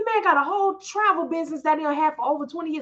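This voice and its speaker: Talking at a very fast pace in an animated tone, a woman with an American accent has a high-pitched voice. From Florida, Orlando. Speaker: trucking business owner. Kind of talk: casual storytelling livestream.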